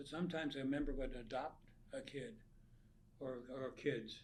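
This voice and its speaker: Audible room echo surrounds a man speaking at a fairly high pitch and a moderate pace in a monotone, flat intonation. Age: 90s. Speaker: nonprofit founder. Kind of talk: interview.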